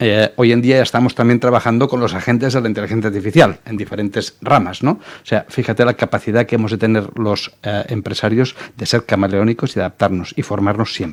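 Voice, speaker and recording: A man talks at a fairly quick pace with hardly any pauses. His medium pitch follows fairly even intonation. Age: 60s. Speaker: entrepreneur and business mentor. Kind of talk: interview. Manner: hesitant, with fillers.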